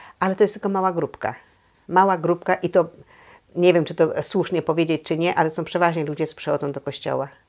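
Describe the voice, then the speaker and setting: A woman talks at a very fast pace with a fairly low pitch. Her intonation is fairly even, and the background is quiet. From Poland, Złotów district. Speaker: Polish community association president. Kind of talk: oral history interview answer. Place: home room. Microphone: lapel.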